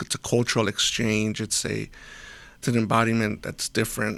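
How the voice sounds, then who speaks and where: There is vocal fry in this man's medium-pitched voice, at a moderate pace. The recording is very clean, with a silent background. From US, Mexican American family. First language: Spanish. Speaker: volunteer school builder and first responder. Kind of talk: casual interview. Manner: halting, many restarts.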